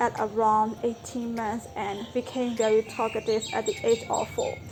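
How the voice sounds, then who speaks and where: Noticeable background noise sits behind a woman's voice. She has a fairly high pitch and a Burmese accent. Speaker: language-learning vlogger. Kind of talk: tutorial.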